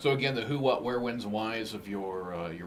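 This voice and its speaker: Over noticeable background noise, a man talks at a fairly quick pace in a fairly low pitch with ordinary pitch variation. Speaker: radio host. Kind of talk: radio interview.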